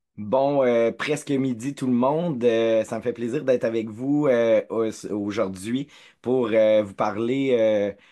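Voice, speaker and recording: Speaking at a very slow pace against a quiet background, a man uses a medium pitch and fairly even intonation. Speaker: community organization director. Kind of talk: webinar presentation.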